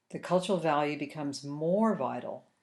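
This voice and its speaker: A woman with an unremarkable speaking voice talks at a moderate pace, fairly low in pitch with ordinary pitch variation. The background is quiet. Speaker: learning and development consultant. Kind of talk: e-learning module narration.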